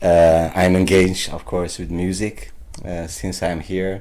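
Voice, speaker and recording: Speaking at a fairly slow pace, a man with a very deep, low pitch and a dark, mellow tone is heard with audible room echo. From Netherlands, raised from age three (born in Turkey). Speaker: musician. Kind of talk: interview. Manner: halting.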